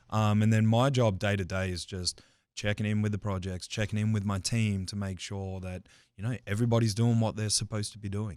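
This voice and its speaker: A man with an Australian accent, fairly low in pitch, fairly quick and monotone, flat in intonation, in a very clean recording over a silent background. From Australia, Adelaide. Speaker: construction safety manager. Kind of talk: casual interview. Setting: studio.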